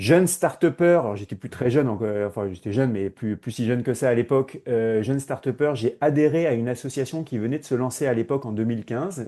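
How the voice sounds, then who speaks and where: A man talks at a fairly quick pace with hardly any pauses. His dark, mellow tone sits at a medium pitch with ordinary variation. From Paris, France. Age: 40s. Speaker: HR innovation consultant. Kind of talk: podcast interview. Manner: hesitant, many fillers.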